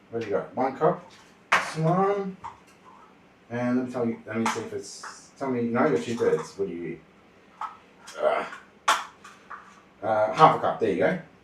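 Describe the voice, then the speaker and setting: Speaking in an Australian accent at a moderate pace, the voice makes very wide pitch swings. Long, frequent pauses break up the delivery. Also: man, medium pitch for a man. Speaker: streamer. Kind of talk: casual livestream cooking chat. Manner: quiet when focused.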